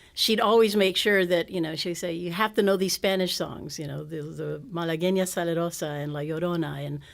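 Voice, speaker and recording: A woman with an American accent, fairly low in pitch and fairly even in intonation, at a fairly quick pace amid audible room echo. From Texas, San Antonio. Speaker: singer-songwriter. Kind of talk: interview. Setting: stage with audience. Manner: halting.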